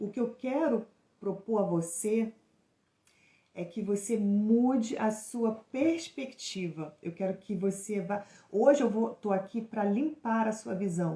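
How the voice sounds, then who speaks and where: A woman's fairly high, somewhat breathy voice with a dark, mellow tone, very slow in pace, with ordinary pitch variation. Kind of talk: live stream teaching. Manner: stumbling, hesitant in places.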